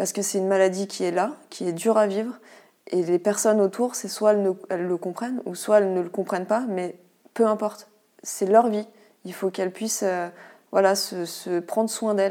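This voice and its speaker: A woman speaks at a moderate pace in a medium pitch with an unremarkable speaking voice. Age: 30s. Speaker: endometriosis patient sharing her experience. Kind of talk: interview testimony.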